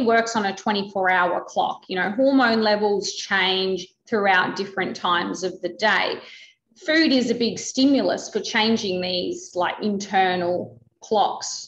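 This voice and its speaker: Lively intonation carries speech at a fairly slow pace, with audible room echo. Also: woman, fairly high pitch for a woman. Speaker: metabolism researcher. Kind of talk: expert interview. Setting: video call. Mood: engaged, explanatory. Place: home room. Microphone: video call.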